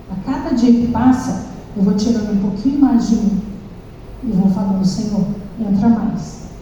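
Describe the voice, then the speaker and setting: A woman with a fairly high pitch and ordinary pitch variation speaks at a fairly slow pace. Audible room echo and noticeable background noise are present. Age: 60s. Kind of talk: sermon.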